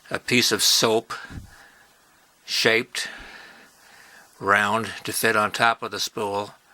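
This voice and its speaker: A man speaks very slowly at a medium pitch, leaving long, frequent pauses. His intonation is monotone and flat, and the sound is dry and close with no echo. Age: 70s. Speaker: toy-making hobbyist. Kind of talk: tutorial. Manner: halting, with many fillers; casual.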